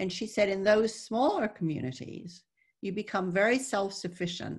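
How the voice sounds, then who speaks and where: Somewhat breathy speech at a moderate pace. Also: woman, quiet background. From raised in the Netherlands, born in Texas. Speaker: author and former CEO. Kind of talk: interview on a webinar panel. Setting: video call. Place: home room. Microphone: video call.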